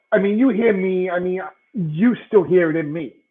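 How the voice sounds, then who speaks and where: This is a man speaking at a moderate pace. His pitch shows ordinary variation. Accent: strong Brooklyn. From Brooklyn, New York. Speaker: sports podcast co-host. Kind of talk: casual chat. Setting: live stream.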